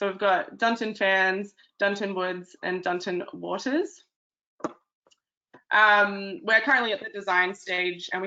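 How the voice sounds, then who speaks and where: Speaking with an Australian accent, a woman talks at a moderate pace at a medium pitch with fairly even intonation. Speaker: town planner. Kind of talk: webinar presentation. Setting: online webinar. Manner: hesitant, many ums and uhs.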